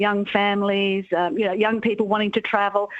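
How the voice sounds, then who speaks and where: Speaking at a fairly quick pace, a woman with an Australian accent has a medium-pitched voice. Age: 60s. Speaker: author and careers commentator. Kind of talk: radio interview.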